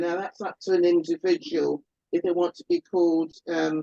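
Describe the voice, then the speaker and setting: A woman with an ordinary speaking voice, lively intonation and a moderate pace, in a dry, close sound with no echo. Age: 60s. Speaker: albinism advocate. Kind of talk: panel discussion.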